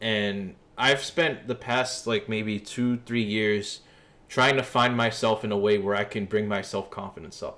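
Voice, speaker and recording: A man with a New York accent, fairly low pitch and a bright, sharp tone, speaking fairly slowly with fairly even intonation. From New York City, East Harlem. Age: 20s. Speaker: streamer. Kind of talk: casual livestream chat. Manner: casual, conversational.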